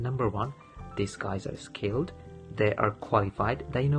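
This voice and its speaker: Over clear background music, a man talks at a moderate pace with lively intonation. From Sylhet, Bangladesh. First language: Bengali. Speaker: international graduate student. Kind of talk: testimonial talk to camera. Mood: friendly, calm, positive. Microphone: phone near.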